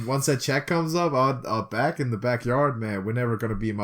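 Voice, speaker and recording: Speaking at a very fast pace, a man uses lively intonation at a medium pitch. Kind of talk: casual, informal.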